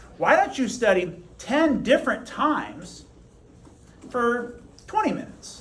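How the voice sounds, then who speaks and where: An extremely high male voice, animated in tone and fairly slow, with long, frequent pauses over noticeable background noise. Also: lively intonation. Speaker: high school teacher. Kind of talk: classroom lecture.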